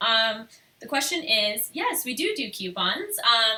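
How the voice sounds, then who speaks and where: Her voice is high-pitched with very wide pitch swings, and the woman talks at a fairly slow pace over noticeable background noise. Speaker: photographer and artist. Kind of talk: live stream Q&A. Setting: live stream video. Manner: soft-spoken.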